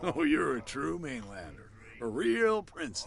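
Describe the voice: Using a put-on character voice, a man speaks at a fairly slow pace with a fairly high pitch, big pitch swings, vocal fry and a fairly bright tone.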